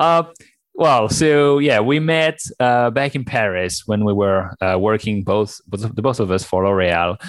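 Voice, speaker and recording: A man with a French accent at a fairly slow pace, fairly low in pitch, lively in intonation and very even in loudness. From France. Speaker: startup founder. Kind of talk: interview.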